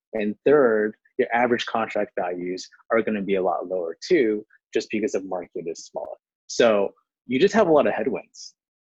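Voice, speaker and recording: At a moderate pace, the speaker talks with an American accent in a dry, close sound with no echo. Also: man. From Houston, Texas, US. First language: Chinese. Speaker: tech startup founder and CEO. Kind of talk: casual interview.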